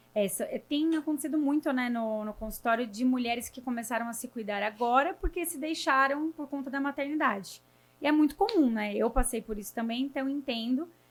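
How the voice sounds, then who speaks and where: Quick-paced and high-pitched, a woman speaks at a fairly brisk rate. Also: ordinary pitch variation, hardly any pauses. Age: 30s. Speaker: nutritionist. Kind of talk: casual interview.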